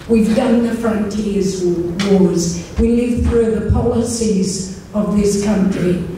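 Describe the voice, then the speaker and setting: Very slowly, a woman speaks amid strong room echo and light background noise. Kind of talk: speech. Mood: earnest, heartfelt. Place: hall.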